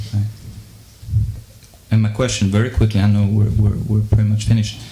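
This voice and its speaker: Audible room echo surrounds a man speaking at a fairly quick pace. His fairly low voice stays monotone and flat, with very even loudness. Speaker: audience member asking a question. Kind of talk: audience Q&A. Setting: live debate with audience. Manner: halting, many fillers and repeats.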